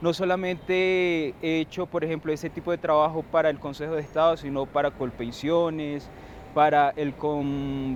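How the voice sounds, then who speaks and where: Fairly high male speech, moderately paced and fairly even in intonation. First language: Wayuunaiki (speaking Spanish). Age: young. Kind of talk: TV interview.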